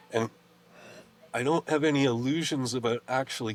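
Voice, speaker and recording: The pace is moderate. It is an ordinary speaking voice, with lively intonation. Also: man. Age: 60s. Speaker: herbalist, farmer and teacher. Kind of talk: interview.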